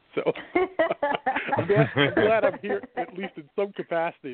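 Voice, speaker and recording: A man speaks at a very slow pace with a Chicago accent, high in pitch. His pitch swings are very wide and his loudness varies greatly. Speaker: radio talk show host. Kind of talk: casual, conversational.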